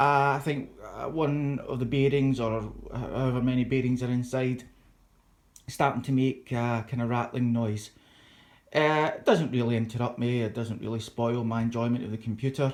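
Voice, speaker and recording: With a Scottish accent, a man speaks at a moderate pace in a medium-pitched voice with monotone, flat intonation. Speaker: YouTuber, PC hobbyist. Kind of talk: casual vlog chat. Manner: halting, many fillers.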